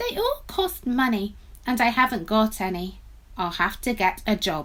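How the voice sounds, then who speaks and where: A female-sounding put-on character voice, fairly high in pitch, moves at a moderate pace. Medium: read story.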